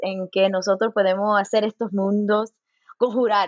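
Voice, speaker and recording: A woman talks at a moderate pace. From Los Angeles, US, Cuban and Puerto Rican parents. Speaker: folklore professor. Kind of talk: interview. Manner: halting, many repeated words; code-switching into English.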